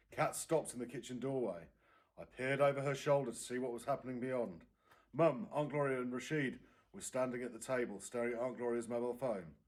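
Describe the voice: Audible room echo surrounds a man's voice. He speaks at a fairly quick pace and medium pitch with ordinary pitch variation.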